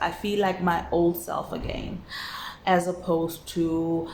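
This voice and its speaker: Noticeable background noise surrounds a woman speaking at a very slow pace. Her voice is fairly low-pitched, with monotone, flat intonation. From South Africa. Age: 30s. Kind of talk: casual talk to camera. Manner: reflective, hesitant.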